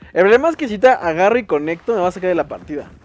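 At a very fast pace, a man with a Mexican accent talks in an animated tone with lively intonation over noticeable background noise. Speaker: gaming youtuber. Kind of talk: gameplay commentary.

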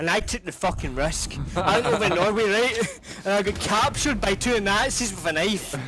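A man shouts at a moderate pace in a high voice with ordinary pitch variation and a strong Scottish accent. His raised, projected delivery carries over noticeable background noise. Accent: thick Scottish. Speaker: gamer in voice chat. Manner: loud, excitable, shouts while telling stories.

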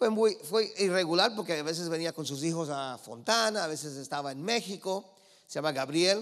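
An animated, high-pitched male voice at a moderate pace, against a quiet background. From Los Angeles, California, of Cuban parents. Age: 50s. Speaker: preacher. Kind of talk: sermon. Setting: church with congregation. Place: church. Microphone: handheld.

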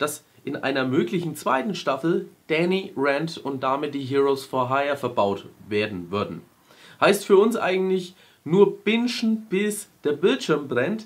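Recorded very cleanly against a silent background, a man talks at a fairly slow pace with very wide pitch swings. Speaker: YouTube film news host. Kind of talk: news show host to camera. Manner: casual, humorous.

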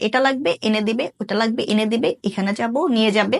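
A woman's voice, dry and close with no echo. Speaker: university student. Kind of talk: comic interview. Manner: animated.

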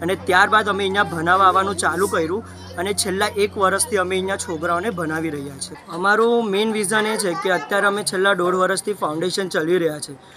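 With faint music in the background, a man projects a raised, high voice with fairly even intonation. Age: 20s. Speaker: student running a charity foundation. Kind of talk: news interview. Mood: earnest, explanatory. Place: street.

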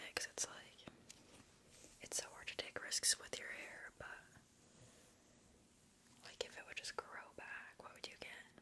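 A woman whispers in a gentle tone at a fairly slow pace, with big swings in loudness and long, frequent pauses. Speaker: ASMR creator. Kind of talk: ASMR personal attention roleplay. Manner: soft, whispered, gentle. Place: home room. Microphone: studio mic.

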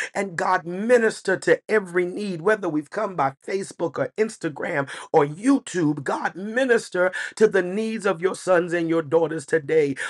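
A high-pitched man at a moderate pace, with ordinary pitch variation and a quiet background. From United States. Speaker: pastor. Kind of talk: church prayer, spoken aloud to the congregation. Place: home room. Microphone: webcam.

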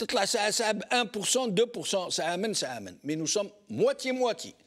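A high-pitched man speaks with ordinary pitch variation against a quiet background. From Algeria. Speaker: TV show host. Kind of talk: call-in talk show. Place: studio. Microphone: lapel.

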